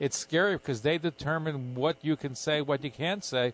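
In a dry, close recording with no echo, a man uses a plain, everyday voice, fairly high in pitch with ordinary pitch variation. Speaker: radio host. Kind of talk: live radio interview. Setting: radio studio broadcast with callers.

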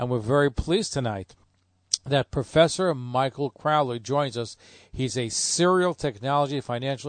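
A man with a plain, everyday voice, medium in pitch, at a fairly quick pace with a dry, close sound and no echo. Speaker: radio host. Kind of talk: radio show introduction and interview.

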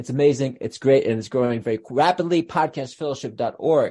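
Lively intonation from a man with a fairly high pitch and a dark, mellow tone, over a quiet background. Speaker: podcast host and rabbi. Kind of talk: casual interview. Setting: video call.

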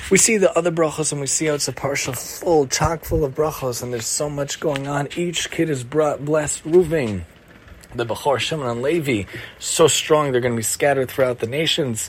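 Noticeable background noise sits behind a man talking at a fairly quick pace. His pitch is fairly high, with ordinary variation. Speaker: podcast host teaching weekly Torah portion. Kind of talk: religious teaching monologue.

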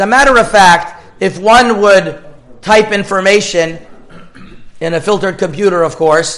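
With music in the background and audible room echo, the speech moves at a fairly slow pace with ordinary pitch variation. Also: man. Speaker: rabbi teaching a Torah class. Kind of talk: lecture.

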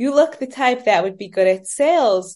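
In a New York accent, a woman speaks at a moderate pace with lively intonation against a quiet background. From New York, Brooklyn. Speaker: fashion business owner. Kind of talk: interview.

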